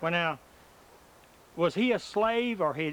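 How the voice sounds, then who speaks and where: In a rural Southern US accent, a man talks at a moderate pace with a high pitch and ordinary pitch variation. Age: 50s. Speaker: oral history interviewer. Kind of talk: oral history interview.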